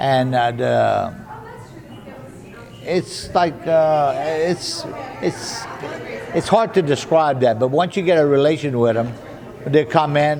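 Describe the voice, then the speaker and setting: Crowd noise fills the background as a man talks very slowly, with long, frequent pauses. His voice is fairly high-pitched with ordinary pitch variation. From Louisiana Cajun. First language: French. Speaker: waiter. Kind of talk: interview answer. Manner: chatty, folksy.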